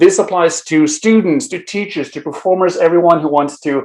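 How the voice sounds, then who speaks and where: A man with a Norwegian accent, fairly high pitch and lively intonation. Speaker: improv teacher. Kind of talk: conference talk. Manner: hesitant, many fillers.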